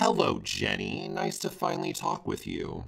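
In a put-on, robotic character voice, a man talks at a moderate pace and a high pitch. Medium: machinima. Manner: impatient, sassy.

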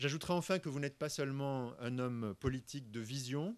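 A man speaks at a moderate pace. His pitch sits fairly high. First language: French (speaking Spanish). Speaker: university director; guest. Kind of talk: formal welcome speech. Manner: formal. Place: hall. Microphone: podium.

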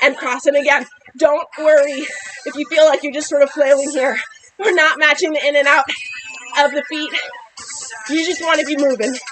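There is noticeable background noise as a woman speaks at a high pitch. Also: fairly even intonation, moderate pace. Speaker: fitness instructor. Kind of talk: workout coaching cues. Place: garden.

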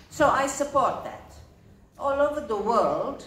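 A woman's voice with audible room echo and light background noise. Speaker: conference speaker. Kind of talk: speech. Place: hall. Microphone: pa.

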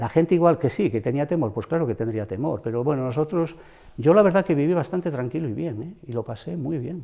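Over a quiet background, a man with a dark, mellow tone speaks at a very fast pace with lively intonation. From Ponferrada, El Bierzo, León, Spain; Spain. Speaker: retired schoolteacher. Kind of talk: interview. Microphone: lapel.

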